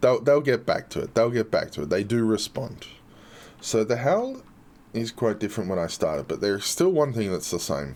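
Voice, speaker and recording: The speaker has an Australian accent and lively intonation. The pace is moderate. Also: man, medium pitch for a man, very clean recording, silent background. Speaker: game community streamer. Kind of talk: live stream chat and gameplay showcase.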